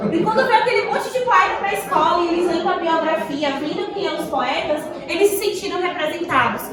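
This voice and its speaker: Over noticeable background noise and audible room echo, a woman speaks fairly quickly at an extremely high pitch. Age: 20s. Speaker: teacher and poetry movement vice-coordinator. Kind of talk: school talk to students. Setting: school classroom, standing.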